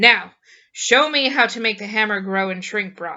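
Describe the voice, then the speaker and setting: Putting on a character voice, a woman speaks raspy and fairly high at a moderate pace. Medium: read story. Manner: blunt.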